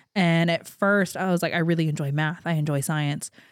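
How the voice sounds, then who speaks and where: An unremarkable speaking voice from a woman, fairly low in pitch with fairly even intonation, dry and close with no echo, on a very clean recording with a silent background. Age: 30s. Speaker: church-raised former student, interview guest. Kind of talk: casual interview chat. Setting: studio.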